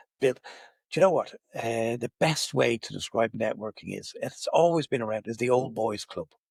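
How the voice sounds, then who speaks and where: Speaking at a fairly quick pace with an Irish accent, a man uses a medium pitch in a dry, close recording with no echo. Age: 60s. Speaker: business networking director. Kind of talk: podcast interview. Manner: animated.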